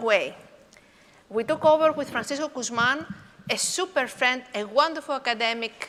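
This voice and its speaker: A woman speaks with a Greek accent at a high pitch. Her voice is raised and projected. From Greece. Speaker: professor. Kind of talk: conference talk. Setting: conference hall with audience.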